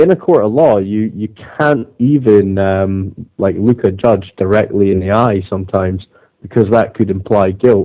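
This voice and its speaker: A man speaks in a Scottish accent at a moderate pace. His fairly low pitch varies in an ordinary way. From Scotland. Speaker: activist caller on radio show. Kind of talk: casual chat. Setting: internet call. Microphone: connection dropouts.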